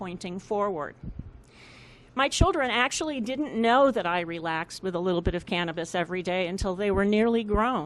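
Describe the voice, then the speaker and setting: A woman's medium-pitched, ordinary speaking voice with lively intonation at a moderate pace. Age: 60s. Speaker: resident speaking at public hearing. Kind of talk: public comment. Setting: public hearing. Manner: formal.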